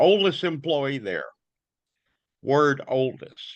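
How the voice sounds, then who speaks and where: Against a quiet background, a man with an Alabama accent speaks at a moderate pace in a bright, sharp tone, his fairly high pitch carried by lively intonation. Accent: US Southern (Alabama). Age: 70s. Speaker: notary public. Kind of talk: casual interview. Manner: halting.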